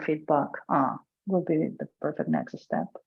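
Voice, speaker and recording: A woman in a Catalan accent speaks at a moderate pace with a very deep, low pitch. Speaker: open source contributor. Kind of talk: online work meeting.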